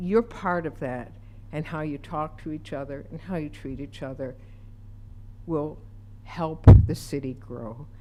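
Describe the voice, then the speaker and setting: A woman with an American accent speaks at a very slow pace in a very deep, low pitch with vocal fry. Her intonation is lively, and the room echo is audible. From Utica, New York. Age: 70s. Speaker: public commenter. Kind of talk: public comment. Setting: city council meeting.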